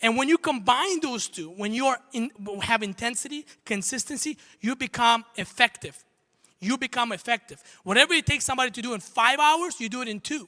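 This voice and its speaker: A man speaks at a fairly quick pace in an extremely high pitch, his voice raised and projected with an animated, bright, sharp tone. The recording is very clean and dry, close with no echo and a silent background. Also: ordinary pitch variation. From Armenia. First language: not English (English is third language). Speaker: entrepreneur and motivational speaker. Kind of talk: motivational talk on stage. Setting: stage with audience.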